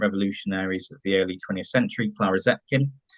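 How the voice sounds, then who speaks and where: The recording is dry and close, with no echo. A man with a West Country accent speaks at a fairly quick pace. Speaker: online event moderator. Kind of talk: event introduction. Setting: online forum.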